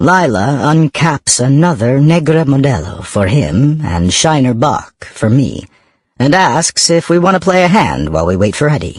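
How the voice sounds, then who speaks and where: This somewhat breathy voice moves at a fairly slow pace. Its pitch swings very widely. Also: man. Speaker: audiobook narrator. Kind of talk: audiobook narration.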